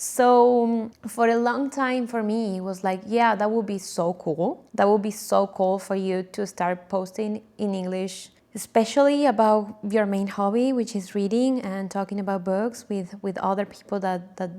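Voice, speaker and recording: With an Argentine accent, a woman speaks at a fairly slow pace and medium pitch, her tone dark and mellow, with ordinary pitch variation. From Argentina, Buenos Aires. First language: Spanish. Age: 20s. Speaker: book vlogger. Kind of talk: casual vlog intro. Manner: casual, with fillers and self-corrections.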